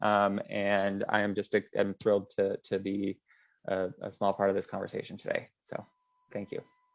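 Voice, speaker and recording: Quiet and at a moderate pace, a man is speaking. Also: dry, close sound with no echo. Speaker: advocacy director. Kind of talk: panel introduction.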